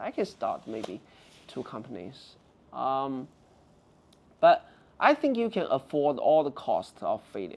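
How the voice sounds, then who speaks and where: A man with a Chinese accent at a fairly slow pace. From China. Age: 40s. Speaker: tech reviewer and app founder. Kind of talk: casual interview chat.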